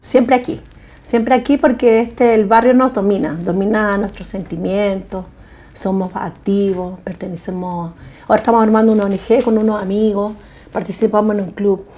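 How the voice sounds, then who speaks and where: This woman's voice has a dark, mellow tone and a medium pitch. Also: ordinary pitch variation, moderate pace. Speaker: homeowner in documentary. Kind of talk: documentary interview.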